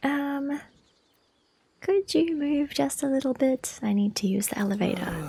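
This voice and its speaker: Soft-spoken delivery at a moderate pace, with long, frequent pauses. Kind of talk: casual gameplay commentary.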